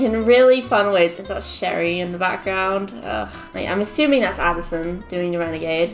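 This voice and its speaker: Over faint background music, a woman talks at a moderate pace with hardly any pauses and ordinary pitch variation. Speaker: online creator. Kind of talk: casual vlog chat. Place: home room.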